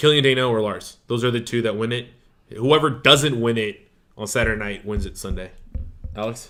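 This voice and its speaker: A man speaks at a fairly quick pace, his medium pitch showing ordinary variation. Music plays in the background. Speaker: wrestling podcast host. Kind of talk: casual chat. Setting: studio, live-streamed.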